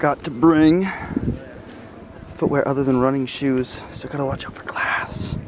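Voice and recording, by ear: A man speaks at a fairly slow pace with fairly even intonation and medium pitch. Faint background noise sits underneath.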